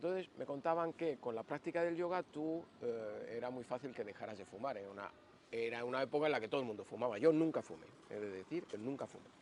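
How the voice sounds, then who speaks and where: A man's very fast delivery with lively intonation. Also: medium pitch for a man. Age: 60s. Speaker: yoga teacher. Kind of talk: interview storytelling. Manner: hesitant, with fillers.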